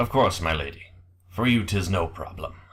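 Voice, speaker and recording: In a put-on character voice, a man speaks at a moderate pace with a raspy, very deep, low pitch. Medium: actual play. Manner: flat, formal.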